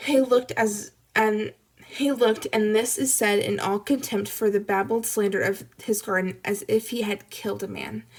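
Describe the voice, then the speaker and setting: Putting on a character voice, a woman sounds raspy at a fairly high pitch, with fairly even intonation and a moderate pace. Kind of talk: classroom read-aloud. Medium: read story. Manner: plain, occasionally stumbling.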